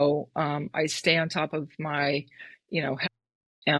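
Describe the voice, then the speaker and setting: Against a quiet background, a woman with an American accent is heard in a dry, close sound with no echo. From California, Marin County. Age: 60s. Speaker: endurance athlete and running coach. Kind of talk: interview conversation.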